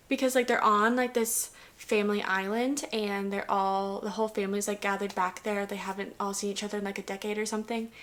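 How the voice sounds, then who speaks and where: A woman at a very fast pace, medium in pitch, with hardly any pauses. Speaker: book reviewer vlogger. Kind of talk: casual book review monologue. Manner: animated.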